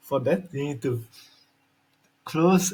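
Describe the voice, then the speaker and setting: With ordinary pitch variation, a man speaks in a somewhat breathy voice. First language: Slovak. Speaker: YouTuber. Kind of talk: tutorial demo.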